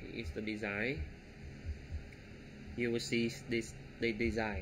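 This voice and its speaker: A man speaks at a fairly slow pace with vocal fry. His tone is bright and sharp. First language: not English. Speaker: web development tutorial creator. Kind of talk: coding tutorial. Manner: halting, many fillers.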